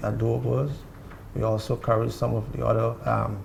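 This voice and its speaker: A man with a very deep, low pitch talks at a fairly quick pace, his voice making very wide pitch swings. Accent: Guyanese. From Guyana. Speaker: marketing coordinator. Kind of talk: TV interview. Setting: TV set in a hotel room.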